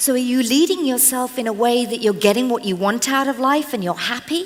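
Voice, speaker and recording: Fairly quick, animated speech in a British accent, with ordinary pitch variation. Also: woman, high pitch for a woman. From England. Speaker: motivational speaker and trainer. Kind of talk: inspirational talk. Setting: stage with audience.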